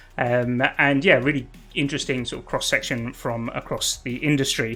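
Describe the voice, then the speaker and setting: A man keeps his intonation fairly even while music plays in the background. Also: medium pitch for a man, moderate pace. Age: 40s. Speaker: live show host. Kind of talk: live show discussion.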